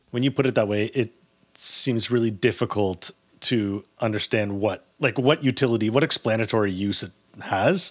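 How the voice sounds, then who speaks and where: A man with a Canadian accent and a normal speaking voice, medium pitch, ordinary pitch variation and moderate pace, over a quiet background. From Canada, Toronto. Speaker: podcast co-host. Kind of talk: casual discussion.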